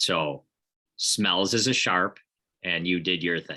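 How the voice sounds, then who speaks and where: With a Midwestern accent, a man speaks at a very deep, low pitch in a bright, sharp tone. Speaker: podcast host. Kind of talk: casual chat.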